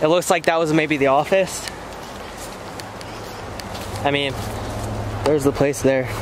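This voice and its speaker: A man at a moderate pace with fairly even intonation, a dry sound with no echo, and music in the background. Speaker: vlogger exploring. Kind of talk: casual vlog chat. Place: open country. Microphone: phone near.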